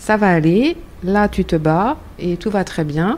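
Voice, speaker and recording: This woman's voice has a dark, mellow tone. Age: 50s. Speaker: cancer survivor, association volunteer. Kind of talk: round-table discussion.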